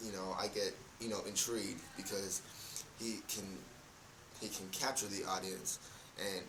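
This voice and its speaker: A man's fairly low, monotone voice at a fairly slow pace with long, frequent pauses and noticeable background noise. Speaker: youtuber. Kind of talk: casual vlog monologue. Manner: halting.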